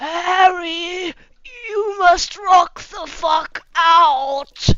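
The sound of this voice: Someone puts on a character voice at an extremely high pitch, speaking at a very slow pace.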